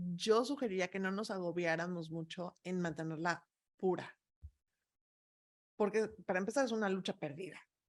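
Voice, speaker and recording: Speaking with a Mexican accent, a woman keeps a medium pitch and ordinary pitch variation. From Mexico. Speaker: expert on migrant families. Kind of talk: talk answering audience questions.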